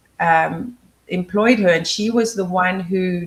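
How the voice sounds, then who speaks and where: A woman with a South African accent speaks at a fairly slow pace in a somewhat breathy, fairly low voice. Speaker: memory trainer and former activist. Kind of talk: interview.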